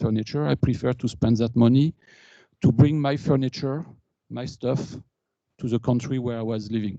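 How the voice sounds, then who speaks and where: The voice has a dark, mellow tone and a French accent. Its pace is moderate. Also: man. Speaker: engineer and alumni speaker. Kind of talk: conference talk. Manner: halting.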